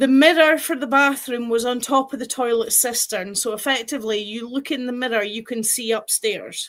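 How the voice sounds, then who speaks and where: A woman's high-pitched voice at a moderate pace, with fairly even intonation and hardly any pauses. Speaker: paranormal experiencer. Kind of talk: casual chat.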